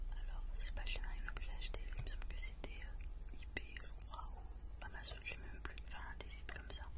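In a relaxed tone, a soft-spoken woman whispers. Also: moderate pace, hardly any pauses. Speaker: ASMR creator. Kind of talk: ASMR makeup collection presentation. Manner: whispered; soft-spoken, relaxed. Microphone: studio mic.

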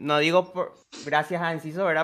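A man with a bright, sharp tone talks at a fairly high pitch with fairly even intonation. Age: 20s. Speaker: football content creator; football streamer. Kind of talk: casual chat; casual sports talk with a guest. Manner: halting. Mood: relaxed, cheerful. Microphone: studio mic.

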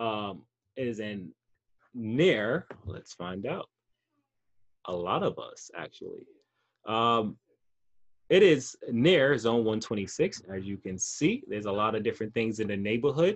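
Over a quiet background, a man with an American accent talks very slowly, taking long, frequent pauses, with lively intonation and big swings in loudness. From New York City, the Bronx. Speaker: teaching artist. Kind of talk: online lesson. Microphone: webcam.

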